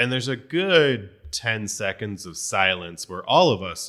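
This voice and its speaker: A man with an American accent talks in a bright, sharp tone with lively intonation. The recording is very clean, with a silent background. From New Jersey. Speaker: author. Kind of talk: casual chat. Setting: studio.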